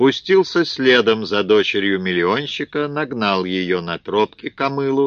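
The intonation moves in a lively way. It is an unforced reading voice.

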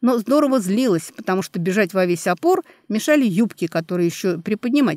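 Lively intonation runs through the delivery. It is an unforced reading voice.

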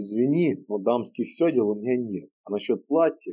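With lively intonation and a quiet background, the words are read aloud in a natural voice.

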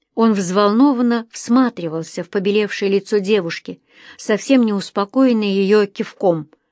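An unforced reading voice carrying ordinary pitch variation

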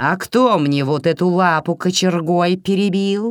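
A female-sounding put-on character voice, medium in pitch, at a moderate pace, with hissing. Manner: hissing, bitter.

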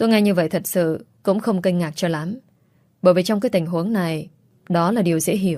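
Ordinary pitch variation shows up in an unforced reading voice.

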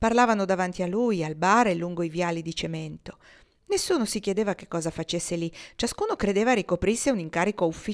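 Natural voice, reading

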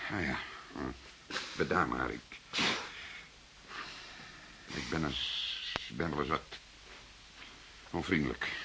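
A put-on character voice with a bright, sharp tone, ordinary pitch variation, a slow pace and long, frequent pauses. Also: man, extremely low pitch for a man.

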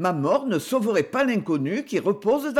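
The voice is a natural reading voice.

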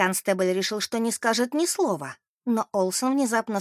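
Plain reading aloud with ordinary pitch variation over a quiet background

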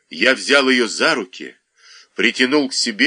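With fairly even intonation, the clip offers plain reading aloud over a quiet background.

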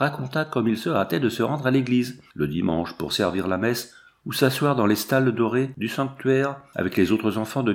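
Text read aloud by a natural voice.

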